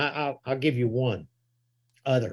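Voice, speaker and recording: Southern US accent from a male speaker, very clean recording, silent background. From US South. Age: 70s. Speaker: evangelist, church elder and author. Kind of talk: casual interview.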